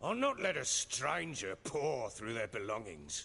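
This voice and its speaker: Putting on a raspy character voice, a man speaks at a fairly slow pace at a medium pitch, his pitch swinging very widely. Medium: video game. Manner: blunt, commanding.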